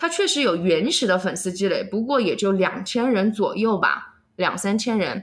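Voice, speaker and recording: A woman talks at medium pitch and a moderate pace in an unremarkable speaking voice. She leaves hardly any pauses. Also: lively intonation. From Chengdu, Sichuan. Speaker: vlogger. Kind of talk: interview.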